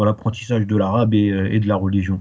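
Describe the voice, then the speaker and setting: The man's fairly low voice stays monotone and flat. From Paris, France, Guadeloupean parents. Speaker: Arabic language teacher. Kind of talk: interview. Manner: hesitant, many fillers.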